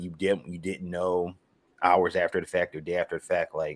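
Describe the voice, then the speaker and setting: This is a man speaking. He has a strong Philadelphia accent. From Philadelphia, US. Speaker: sports writer and podcaster. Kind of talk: casual sports podcast chat. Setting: podcast recording.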